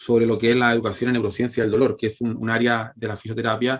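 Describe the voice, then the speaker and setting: Very fast, monotone, flat speech in a Chilean accent. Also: man. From Chile, La Calera. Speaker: physiotherapist, pain researcher. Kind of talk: lecture. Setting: online conference with shared screen. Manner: halting, many fillers and repetitions.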